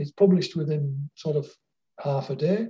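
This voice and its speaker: The voice has a dark, mellow tone, somewhat breathy, with a Lancashire accent. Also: man. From northern England, Wigan. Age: 70s. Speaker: author. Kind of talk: interview. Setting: phone or video call.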